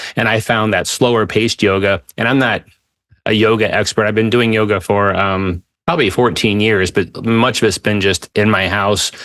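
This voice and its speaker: A man with a fairly low pitch and very even loudness, over a quiet background. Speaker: podcast host. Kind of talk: podcast interview. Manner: fast; animated.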